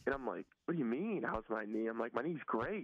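A man is speaking here. His pitch sits in the medium range. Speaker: college football quarterback. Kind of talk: interview. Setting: phone call. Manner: halting.

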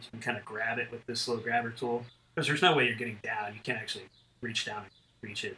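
A man with an American accent talks at a very fast pace. His tone is bright and sharp. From western North Carolina. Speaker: military pilot and photographer. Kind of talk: interview. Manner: halting, many fillers.

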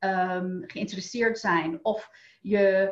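Pitched at a medium level, a woman's voice comes out somewhat breathy. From United States. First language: English (speaking Dutch). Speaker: wealth coach. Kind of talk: interview. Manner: halting, many fillers and repeats.

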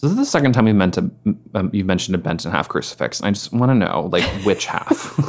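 Fairly low in pitch, a man talks at a very fast pace with lively intonation. Noticeable background noise sits behind him. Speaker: podcast host. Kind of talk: casual chat.

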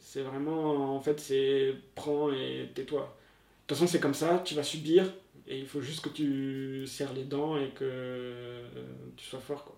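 Over noticeable background noise, a man with a fairly high pitch speaks very slowly in a flat monotone, his loudness swinging widely. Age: 30s. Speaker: former salesperson. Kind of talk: testimony.

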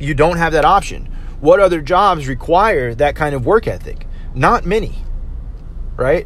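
A man at a high pitch with ordinary pitch variation, a moderate pace, long, frequent pauses and noticeable background noise. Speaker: podcast host, restaurant server. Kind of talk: casual monologue. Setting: in a car. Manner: casual, many fillers. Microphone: cheap USB mic picking up every sound.

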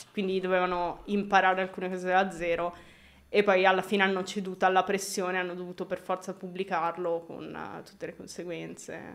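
Speaking at a fairly quick pace, a woman keeps a medium pitch and a monotone, flat intonation. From Milan area, Italy. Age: 20s. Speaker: video game lighting artist. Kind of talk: casual interview chat. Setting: live video stream.

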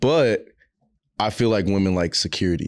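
At a moderate pace, a man speaks in a low pitch in a very clean recording with a silent background. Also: ordinary pitch variation.

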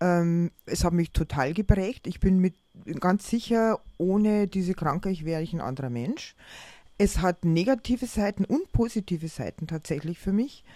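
A woman's dark, mellow tone with lively intonation on a very clean recording with a silent background. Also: medium pitch for a woman, moderate pace. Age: 50s. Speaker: artist and teacher with bipolar disorder. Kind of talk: personal testimony in interview. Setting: on holiday together.

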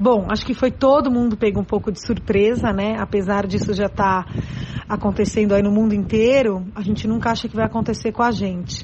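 Over noticeable background noise, a woman with fairly high pitch speaks at a moderate pace with fairly even intonation. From São Paulo, Brazil. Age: 40s. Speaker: schoolteacher. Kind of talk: interview.

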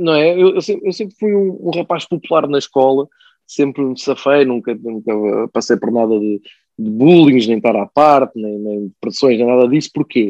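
Lively in intonation, a man talks at a moderate pace and a medium pitch. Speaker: football pundit and music journalist. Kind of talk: casual chat.

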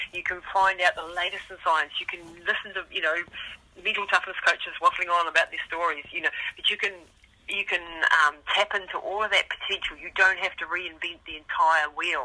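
At a fairly quick pace, a woman talks over noticeable background noise. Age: 50s. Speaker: ultramarathon runner and mental toughness coach. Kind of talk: interview.

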